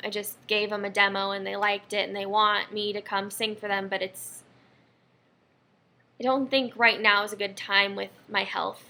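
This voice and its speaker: Speaking at a moderate pace, a woman keeps a medium pitch and a monotone, flat intonation. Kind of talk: casual talk to camera. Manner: rambling, slight stutter.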